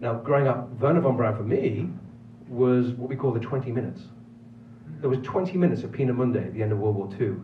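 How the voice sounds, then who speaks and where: A man with a Manx accent talks at a very fast pace amid noticeable background noise and audible room echo. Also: medium pitch for a man, ordinary pitch variation. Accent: British (Manx). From Isle of Man. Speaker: film producer and professor. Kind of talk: film festival Q&A. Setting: theater with audience.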